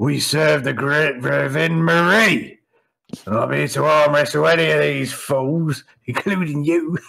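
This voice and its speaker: A man puts on a raspy character voice with fairly high pitch. He speaks at a fairly slow pace. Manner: boisterous, mocking.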